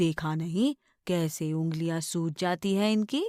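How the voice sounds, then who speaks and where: A woman puts on a character voice, rumbling and fairly low, at a fairly slow pace with ordinary pitch variation. The recording is very clean with a silent background and a dry, close sound with no echo. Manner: grumbling, scolding.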